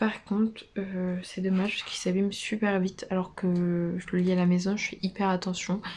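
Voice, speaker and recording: Soft-spoken and somewhat breathy, a woman has a dark, mellow tone at a medium pitch. She talks at a fairly slow pace in a very clean recording with a silent background. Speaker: book vlogger. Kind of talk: casual vlog. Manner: hesitant, many fillers.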